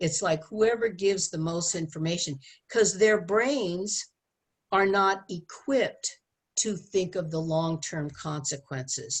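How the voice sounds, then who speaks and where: Against a quiet background, a woman with a somewhat breathy, medium-pitched voice speaks at a fairly slow pace with ordinary pitch variation. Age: 70s. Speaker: relationship educator. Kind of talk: interview.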